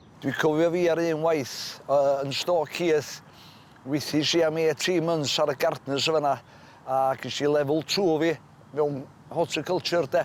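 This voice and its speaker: In a North Welsh accent, a man speaks with a fairly high pitch at a moderate pace. His intonation is monotone and flat, with long, frequent pauses. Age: 60s. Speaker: former prisoner. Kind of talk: documentary interview.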